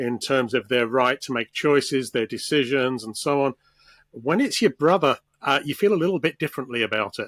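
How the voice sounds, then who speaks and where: An unremarkable speaking voice from a man, fairly high in pitch, at a fairly quick pace. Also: dry, close sound with no echo. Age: 60s. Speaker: assistive technology expert. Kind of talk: interview.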